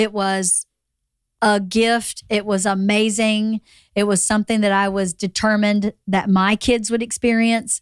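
A woman's fairly high voice, monotone and flat, at a fairly slow pace and very even loudness, in a very clean recording with a silent background and a dry, close sound with no echo. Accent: American. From Georgia, US South. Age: 50s. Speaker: podcast host. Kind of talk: casual chat. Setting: studio.

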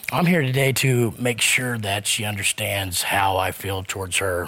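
A man of medium pitch with a Southern US accent, ordinary pitch variation, and noticeable background noise. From US South. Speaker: court show defendant. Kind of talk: heated debate.

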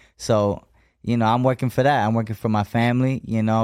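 A man with an American accent speaks at a fairly quick pace in a flat, monotone delivery at a medium pitch. The recording is very clean, with a silent background. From Las Vegas, US. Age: young. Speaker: boxer. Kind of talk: interview. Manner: halting.

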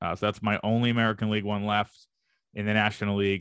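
A man's monotone, flat delivery in a dry, close sound with no echo. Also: very clean recording, silent background. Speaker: baseball reporter and podcast host. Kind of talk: casual Q&A mailbag chat. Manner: fast talker.

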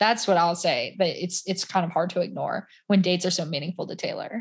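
A woman talks with an American accent, her voice somewhat breathy. The background is quiet. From US South. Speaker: podcaster. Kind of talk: casual chat.

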